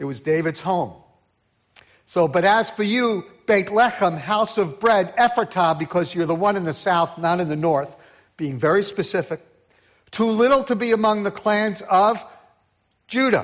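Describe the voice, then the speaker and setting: A man with a New York accent at a high pitch and a moderate pace, with ordinary pitch variation and long, frequent pauses. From New York City (Brooklyn, Queens), then New Jersey. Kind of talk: sermon. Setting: church.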